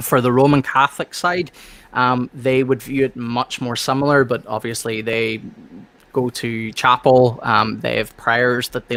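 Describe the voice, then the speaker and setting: A man with an Irish accent speaks at a fairly slow pace, with medium pitch and fairly even intonation. His bright, sharp tone comes through in a dry, close sound with no echo. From Northern Ireland. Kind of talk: casual discussion.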